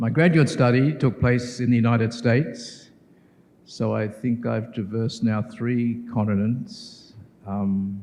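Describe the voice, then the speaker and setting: A man speaks at a medium pitch and a fairly slow pace, with fairly even intonation. His tone is dark and mellow, and the room echo is audible. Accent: Australian. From Australia. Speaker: professor. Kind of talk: keynote lecture. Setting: conference hall with audience.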